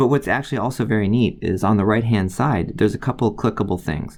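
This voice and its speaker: Against a quiet background, a man with an American accent speaks in a fairly low voice with ordinary pitch variation. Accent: Midwestern, slight, occasionally slips out. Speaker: college biology instructor. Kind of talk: tutorial. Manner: casual, many filler words.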